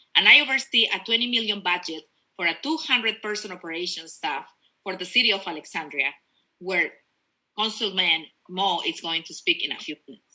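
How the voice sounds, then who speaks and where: A woman with a Spanish accent speaks fairly quickly in a passionate, bright, sharp tone. Her medium-pitched voice swings very widely in pitch. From Peru. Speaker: politician. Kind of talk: campaign speech.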